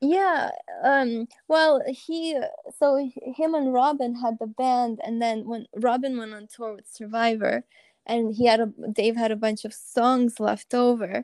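The speaker talks at a fairly slow pace with a Russian accent and ordinary pitch variation. The sound is dry and close, with no echo. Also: woman, high pitch for a woman. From Russia (Moscow), moved to US at 11. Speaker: band musician and pianist. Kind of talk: interview.

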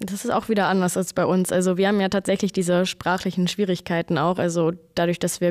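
In a very clean recording with a silent background, a woman talks very fast at a fairly low pitch, her intonation monotone and flat. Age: 20s. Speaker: air traffic controller. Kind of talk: casual interview chat.

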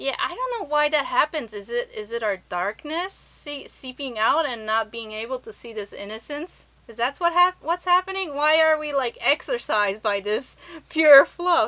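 A woman's raised, projected voice at a high pitch, with very wide pitch swings, big shifts in loudness and a moderate pace, in an American accent. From Japan and US. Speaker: podcast host. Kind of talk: casual chat.

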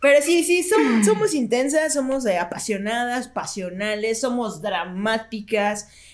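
Noticeable background noise sits behind a woman with a Mexican accent whose fairly high pitch and lively intonation move at a fairly slow pace with hardly any pauses. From Mexico. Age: 30s. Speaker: radio announcer. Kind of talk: casual chat.

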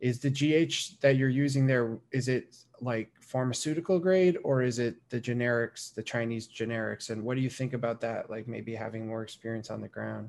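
An unremarkable speaking voice from a man at medium pitch, moderate pace and ordinary pitch variation. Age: 20s. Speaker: bodybuilding podcast host and coach. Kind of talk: casual interview chat.

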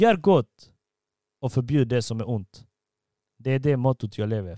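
A man with a dark, mellow tone speaks at a medium pitch in a very clean recording with a silent background, the sound dry and close with no echo. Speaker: podcast host. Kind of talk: casual chat. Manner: talkative.

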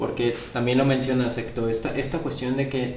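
Noticeable background noise and audible room echo fill the recording. A man speaks at a medium pitch and a moderate pace. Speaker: podcast host. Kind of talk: casual interview. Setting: home studio, filmed.

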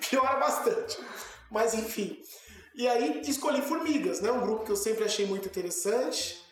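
A man with an extremely high voice swings his pitch very widely at a moderate pace, with audible room echo and noticeable background noise. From São Paulo, Brazil. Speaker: zoology professor. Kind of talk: interview.

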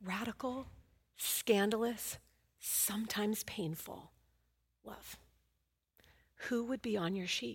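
A somewhat breathy woman with an American accent and a fairly high pitch speaks very slowly, with big swings in loudness and long, frequent pauses. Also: ordinary pitch variation. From Oakland, California. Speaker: guest preacher. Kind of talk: sermon.

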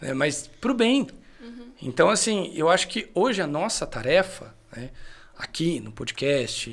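A man with a high pitch speaks at a fairly slow pace, his voice making very wide pitch swings. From Brazil, interior of São Paulo state. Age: 30s. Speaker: theology teacher. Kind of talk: casual podcast chat.

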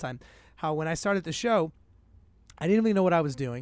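An energetic man with a fairly high pitch and lively intonation, on a very clean recording with a silent background. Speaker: podcaster. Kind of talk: casual chat. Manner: fast talker.

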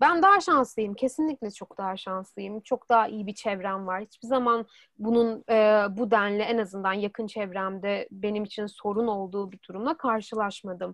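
This is a normal speaking voice at a moderate pace with ordinary pitch variation. Its loudness swings widely. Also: woman, fairly high pitch for a woman. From Turkey, Istanbul. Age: 20s. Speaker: student. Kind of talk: interview.

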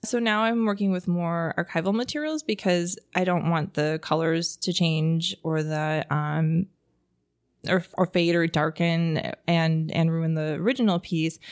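Fairly slow and fairly even in intonation, an unremarkable speaking voice talks with an American accent and very even loudness. The recording is very clean with a silent background and has a dry, close sound with no echo. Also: woman, fairly low pitch for a woman. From Wisconsin, Pewaukee. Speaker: artist. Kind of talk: interview.

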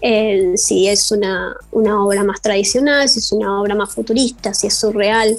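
Woman with an Argentine accent, medium pitch, fairly even intonation, very even loudness and hardly any pauses, over noticeable background noise. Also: moderate pace. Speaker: costume and fashion designer. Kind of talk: interview.

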